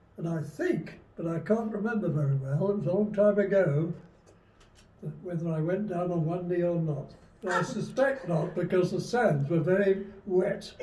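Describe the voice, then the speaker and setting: A man's high-pitched voice with a dark, mellow tone, in audible room echo. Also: ordinary pitch variation, moderate pace. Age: 90s. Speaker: retired army veteran. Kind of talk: interview testimony. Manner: halting.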